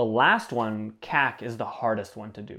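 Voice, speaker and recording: Fairly slow speech from a man with an American accent, medium in pitch, on a very clean recording against a silent background. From Southern California (Temecula). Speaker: brand and product design director. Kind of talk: interview conversation.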